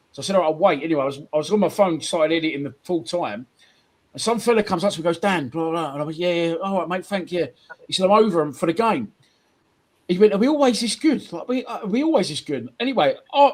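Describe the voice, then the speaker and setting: Talking at a very fast pace with a South London accent, a man sounds animated. His high voice makes very wide pitch swings. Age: 40s. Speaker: football podcast host. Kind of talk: casual chat. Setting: livestream.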